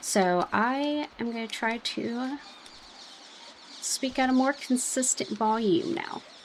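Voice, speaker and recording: A woman's high pitch and lively intonation at a very slow pace, with long, frequent pauses and noticeable background noise. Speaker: gaming YouTuber. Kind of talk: let's play commentary. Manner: mumbling then shouting; casual, filler-heavy.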